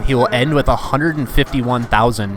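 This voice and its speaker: Noticeable background noise sits behind this man. He talks at medium pitch and a fairly quick pace. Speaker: pinball stream commentator. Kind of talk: live commentary. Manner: hesitant, many fillers.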